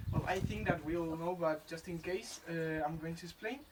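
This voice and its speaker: Here a man speaks with a Spanish accent. His pitch is high. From Spain, Madrid. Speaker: environmental education intern. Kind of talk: presentation. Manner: halting, many fillers.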